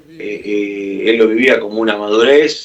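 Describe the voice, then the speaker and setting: A man speaks with an Argentine accent. Noticeable background noise can be heard. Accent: Argentine Spanish (Rioplatense). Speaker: musician. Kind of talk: radio interview.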